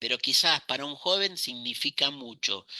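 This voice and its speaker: A man talks at a moderate pace in a bright, sharp tone. The sound is dry and close, with no echo. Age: 60s. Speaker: criminology professor. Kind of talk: lecture.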